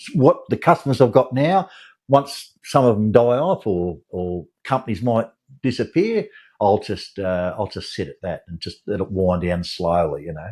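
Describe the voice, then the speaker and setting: A man with an Australian accent talks at a moderate pace in a medium pitch, his pitch swinging very widely. His loudness swings a lot too, over a quiet background. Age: 70s. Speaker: lawn mowing contractor. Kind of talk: casual chat. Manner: halting.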